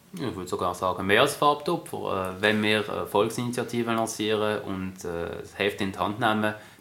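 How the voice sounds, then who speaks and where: Noticeable background noise accompanies a man whose voice sits at a fairly low pitch. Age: young. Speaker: politician. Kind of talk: interview.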